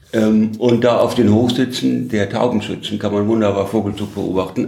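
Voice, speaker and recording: Echo from the room can be heard. The delivery is fairly slow. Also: man. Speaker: former journalist and politician. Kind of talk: interview. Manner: halting.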